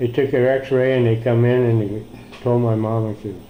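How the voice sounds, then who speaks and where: A man with an American accent speaks at a moderate pace in a medium pitch, his intonation flat and monotone, with audible room echo. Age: 70s. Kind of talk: personal testimony. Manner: casual, hesitant with fillers.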